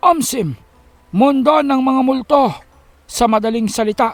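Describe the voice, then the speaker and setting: Using a put-on character voice, a man talks at a fairly slow pace and an extremely high pitch. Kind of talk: formal storytelling dialogue. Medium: read story. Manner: measured, explanatory.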